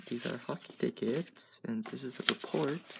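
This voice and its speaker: Noticeable background noise fills the recording. The man talks fairly slowly. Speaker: vlogger. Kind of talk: casual vlog chat. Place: home room. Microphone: phone near.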